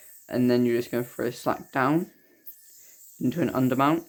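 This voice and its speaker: A man talks quietly at a fairly quick pace, with a medium pitch and fairly even intonation. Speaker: yoyo tutorial creator. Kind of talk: tutorial.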